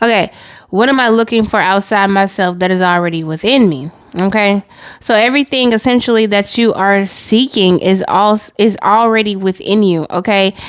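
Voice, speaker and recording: Speaking in a plain, everyday voice, a woman holds a medium pitch at a moderate pace, with ordinary pitch variation and very even loudness. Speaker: tarot reader. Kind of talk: channeled tarot reading.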